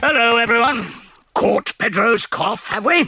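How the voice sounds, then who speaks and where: A man performs a cartoonish character voice at an extremely high pitch. He speaks at a moderate pace. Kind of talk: children's cartoon voice acting. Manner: kindly, gently teasing.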